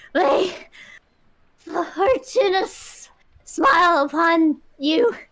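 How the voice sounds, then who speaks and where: A woman uses a put-on character voice, raised and projected at an extremely high pitch. She sounds shaky, with lively intonation and a very slow pace. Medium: actual play.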